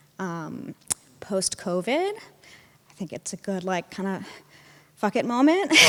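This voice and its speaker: With an American accent, a woman speaks at a very slow pace and a medium pitch, her loudness rising and falling sharply. Noticeable background noise runs behind her. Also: lively intonation. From United States. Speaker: audience member, ceramicist. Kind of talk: self-introduction at live event. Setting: live event with audience.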